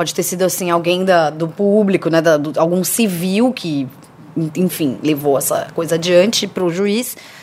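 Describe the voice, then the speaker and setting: Noticeable background noise behind a woman, her pitch medium and its variation ordinary. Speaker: youtuber. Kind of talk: casual chat.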